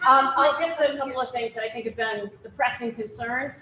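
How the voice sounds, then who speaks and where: A woman is talking. Her pitch is fairly high. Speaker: police chief. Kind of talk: public meeting answer. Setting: public forum with microphone. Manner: loud.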